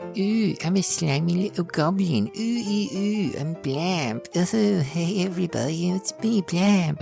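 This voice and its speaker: Clear music plays in the background behind a put-on character voice at a middle pitch. The pace is fairly slow. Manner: slimy.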